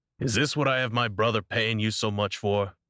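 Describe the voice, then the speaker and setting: A man's put-on character voice at medium pitch and a fairly quick pace, with fairly even intonation and very even loudness, on a very clean, dry, close recording with no echo and a silent background. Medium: read story. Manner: smooth, teasing.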